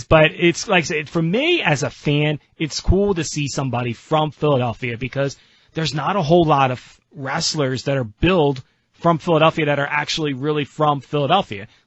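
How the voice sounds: Talking at a fairly quick pace, a man speaks with a South Jersey accent in a fairly high, somewhat breathy voice. His pitch variation is ordinary.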